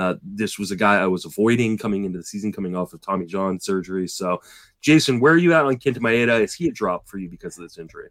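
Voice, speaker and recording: A man with an unremarkable speaking voice talks at a fairly quick pace and fairly low pitch with lively intonation, in a dry, close sound with no echo. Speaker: fantasy baseball podcast host. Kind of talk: casual chat.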